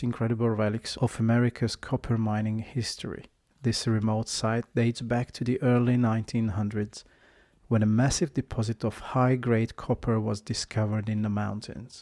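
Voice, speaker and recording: In a very clean recording with a silent background and a dry, close sound with no echo, a man speaks at a moderate pace and medium pitch with a dark, mellow tone and monotone, flat intonation. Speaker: travel vlogger. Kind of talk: casual vlog narration; scripted narration. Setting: outdoors. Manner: loud.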